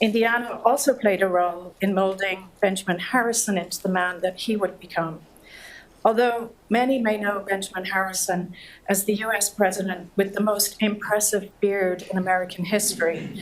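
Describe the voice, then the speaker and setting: A woman with a Dublin accent speaks at a medium pitch with fairly even intonation. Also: moderate pace. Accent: Irish (Dublin). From Ireland, Dublin. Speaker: government antitrust official. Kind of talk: keynote speech read from a script. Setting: lecture hall with audience, mic. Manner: soft-spoken; formal.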